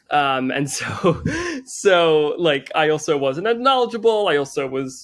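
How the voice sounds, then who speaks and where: The intonation is lively. The speaker has a New Jersey accent. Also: man. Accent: American, New Jersey. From US Northeast, Teaneck New Jersey. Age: 20s. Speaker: chef and social media creator. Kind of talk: podcast interview. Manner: casual with many fillers and repetitions.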